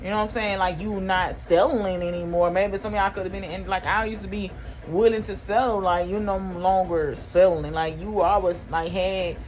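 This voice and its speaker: A woman at a medium pitch, talking at a fairly quick pace with hardly any pauses, amid noticeable background noise. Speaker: spiritual tarot reader. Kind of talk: casual spiritual talk to camera.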